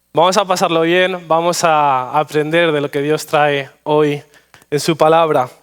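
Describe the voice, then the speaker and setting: Speaking at a fairly slow pace, a man uses a fairly high voice with fairly even intonation. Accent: Madrid. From Spain, Madrid. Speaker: pastor. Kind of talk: sermon. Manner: halting, frequent repetitions and fillers.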